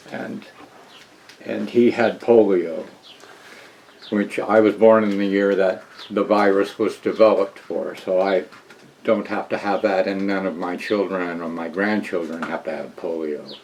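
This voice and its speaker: Amid noticeable background noise, a man speaks fairly slowly with fairly even intonation and long, frequent pauses. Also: fairly low pitch for a man. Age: 60s. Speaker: interviewee sharing family history. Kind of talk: testimony. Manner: halting.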